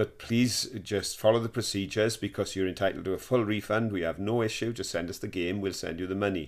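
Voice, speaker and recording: Fairly low-pitched and with a strong Welsh accent, a man talks at a fairly quick pace with fairly even intonation and hardly any pauses, on a very clean recording with a silent background. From Wales. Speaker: podcast host. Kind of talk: casual chat.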